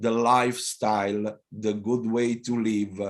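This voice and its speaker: A man speaks very slowly with an Italian accent, his pitch medium. The background is quiet. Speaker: mayor. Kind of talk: panel talk. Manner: halting.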